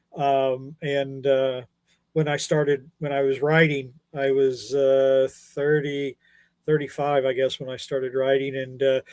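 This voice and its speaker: This man's pitch is fairly high and his intonation is monotone and flat. He talks at a fairly slow pace. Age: 60s. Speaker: comics columnist. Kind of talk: casual chat.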